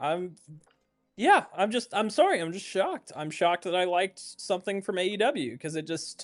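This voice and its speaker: With music in the background, a man speaks in a high pitch. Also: ordinary pitch variation, moderate pace. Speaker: wrestling podcast co-host. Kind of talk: casual chat.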